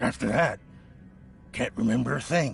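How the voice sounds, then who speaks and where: A man puts on a raspy character voice at medium pitch. He talks at a moderate pace over clear background noise. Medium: video game. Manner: defensive, agitated.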